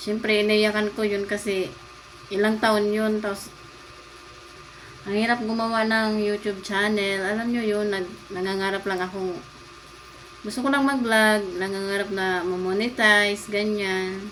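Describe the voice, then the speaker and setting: Through audible room echo and noticeable background noise, a woman of medium pitch speaks at a fairly slow pace in a monotone, flat intonation. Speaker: lifestyle vlogger. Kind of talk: casual vlog talk.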